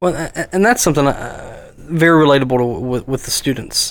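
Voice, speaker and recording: A man speaks at a moderate pace in a fairly high pitch, with ordinary pitch variation and an unremarkable speaking voice. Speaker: tech podcast co-host and teacher. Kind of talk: interview.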